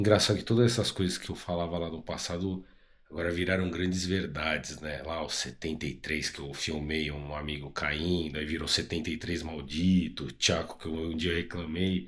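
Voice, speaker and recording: A man with a very deep, low voice talks at a moderate pace with fairly even intonation and hardly any pauses. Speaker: motorcycle travel vlogger. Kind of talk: travel vlog. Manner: casual, conversational.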